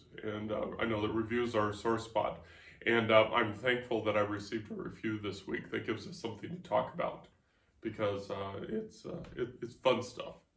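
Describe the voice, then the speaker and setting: A man's medium-pitched voice is heard with audible room echo around it. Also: ordinary pitch variation. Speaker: podcast host and author. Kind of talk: casual chat. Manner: fast.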